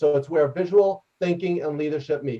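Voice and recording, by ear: Loud and fairly quick, a man speaks with a dark, mellow tone.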